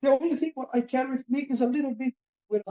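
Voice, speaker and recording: A man speaks in a dark, mellow tone, and the sound is dry and close with no echo. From Brazil, countryside of Pará. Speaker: capoeira teacher. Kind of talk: interview. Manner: halting.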